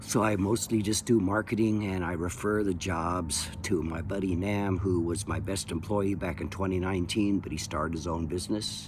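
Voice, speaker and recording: A man speaks with a very deep, low pitch and fairly even intonation. Audible echo fills the room. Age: 70s. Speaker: window cleaning business owner. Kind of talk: casual monologue. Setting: outdoors in backyard. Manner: halting, many fillers.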